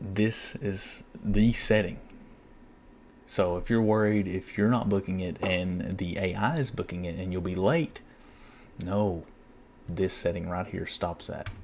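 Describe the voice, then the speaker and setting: A man speaks quietly in a very deep, low voice at a fairly slow pace. Long pauses come often, over light background noise. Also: ordinary pitch variation. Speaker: box truck owner-operator. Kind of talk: screen-share tutorial. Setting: at home at night. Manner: quiet, hushed; hesitant, repetitive.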